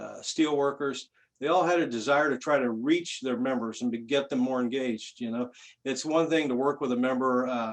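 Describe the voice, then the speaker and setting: Fairly quick and fairly even in intonation, a plain, everyday voice carries the speech. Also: man, medium pitch for a man. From Louisiana, raised in Ohio from age ten. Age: 60s. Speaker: union outreach director. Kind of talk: interview.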